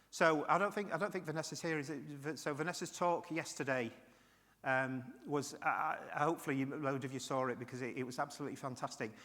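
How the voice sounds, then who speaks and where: A man talks at a very fast pace in a fairly high pitch with a bright, sharp tone. His pitch varies normally, and the room echo is audible. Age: 60s. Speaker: keynote speaker, retired IT professional with Parkinson's. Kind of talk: keynote speech. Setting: stage with audience.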